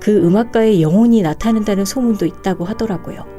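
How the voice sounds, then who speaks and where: A woman speaks at medium pitch and a fairly quick pace. Music can be heard in the background. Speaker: announcer and storyteller. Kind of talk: horror story reading, first-person narration.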